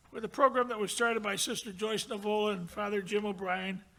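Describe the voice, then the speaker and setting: Raised and projected, a man's high-pitched voice has a bright, sharp tone and an American accent. He moves at a fairly quick pace with ordinary pitch variation. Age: 80s+. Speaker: award recipient. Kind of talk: acceptance speech.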